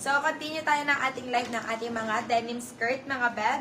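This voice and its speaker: Noticeable background noise and audible room echo fill this recording. A woman speaks with a fairly high pitch and fairly even intonation. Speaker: online live seller. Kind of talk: live selling stream. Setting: live stream. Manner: deliberately soft, subdued speaking.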